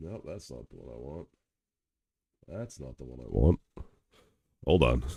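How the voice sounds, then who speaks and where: A man's very deep, low voice with vocal fry and a dark, mellow tone, lively intonation, big swings in loudness, a moderate pace broken by long, frequent pauses, and a dry, close sound with no echo. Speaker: livestreamer reacting to videos. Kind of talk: casual livestream commentary.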